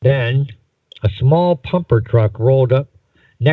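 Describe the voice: Over a quiet backdrop, the text is read aloud plainly.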